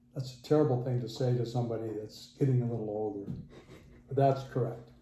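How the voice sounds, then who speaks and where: The man talks at a very fast pace, at medium pitch. His intonation is monotone and flat, with audible room echo. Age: 70s. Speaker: interviewee, working technical manager. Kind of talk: casual interview.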